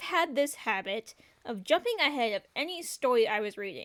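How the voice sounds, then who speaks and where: With an American accent, a woman speaks in very wide pitch swings. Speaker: storytelling artist youtuber. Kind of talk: storytime narration. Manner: casual, conversational.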